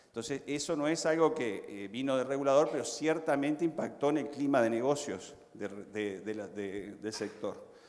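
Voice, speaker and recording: A fairly high-pitched man at a moderate pace with ordinary pitch variation and hardly any pauses. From Uruguay. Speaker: panelist. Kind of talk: conference panel discussion.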